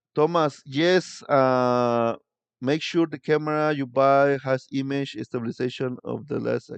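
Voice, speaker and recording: A man with a Spanish accent, fairly high in pitch, with fairly even intonation and a very slow pace, in a dry, close sound with no echo over a quiet background. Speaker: tour guide and vlogger. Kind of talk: live stream chat with viewers. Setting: live stream. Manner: halting.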